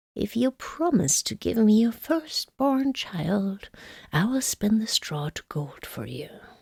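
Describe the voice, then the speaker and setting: A female-sounding speaker cackles in a put-on character voice at a fairly high pitch and a fairly slow pace. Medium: read story. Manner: cackling, jeering.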